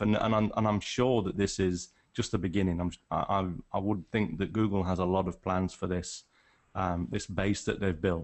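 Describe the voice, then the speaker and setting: Speaking with a northern English accent, a man uses a fairly low pitch, a moderate pace and ordinary pitch variation. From England, Nottingham. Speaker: wildlife photographer. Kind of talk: casual chat. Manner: halting, many restarts.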